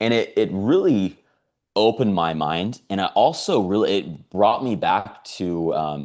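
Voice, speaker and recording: Against a quiet background, a man with a fairly low pitch speaks with lively intonation. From US West Coast, San Diego, California. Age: 30s. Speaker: network marketing salesperson. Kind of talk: testimony. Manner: casual, filler-heavy.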